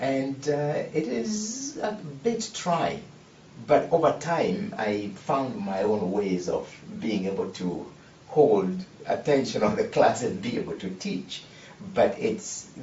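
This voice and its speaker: Someone with an African accent speaks at a very slow pace with very wide pitch swings, amid audible room echo and noticeable background noise. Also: man. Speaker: teacher. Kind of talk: panel discussion. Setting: studio. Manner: halting.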